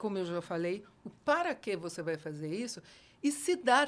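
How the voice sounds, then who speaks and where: The voice belongs to a woman. Her pitch rises and falls across a very wide range. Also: very clean recording, silent background. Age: 60s. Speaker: educator. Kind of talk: casual chat. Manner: animated.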